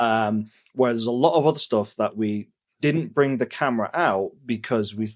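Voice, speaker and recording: A man speaks with an English accent at a fairly quick pace. His pitch is medium, it varies in an ordinary way, and the background is quiet. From England. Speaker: travel vlogger. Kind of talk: casual chat. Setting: indoors at home, talking head at computer.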